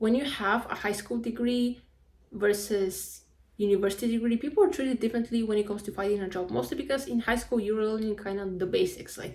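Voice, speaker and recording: A woman with a Spanish accent talks at a fairly quick pace and a fairly high pitch, with ordinary pitch variation. Her voice is somewhat breathy. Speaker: vlogger, university student. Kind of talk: casual vlog monologue. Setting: at home.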